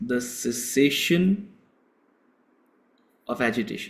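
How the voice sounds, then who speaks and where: A man with a South Indian accent speaks very slowly at a fairly high pitch, with lively intonation. Room echo is audible. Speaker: spiritual teacher. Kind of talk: lecture.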